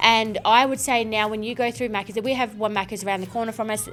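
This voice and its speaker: A woman speaks at a fairly high pitch with an Australian accent. Noticeable background noise runs behind her. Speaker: home staging business owner. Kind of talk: casual chat. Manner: loud; animated.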